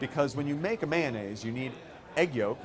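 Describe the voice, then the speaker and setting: A man with an American accent talks at medium pitch with lively intonation. Noticeable background noise runs behind him. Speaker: company co-founder. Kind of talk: conference talk.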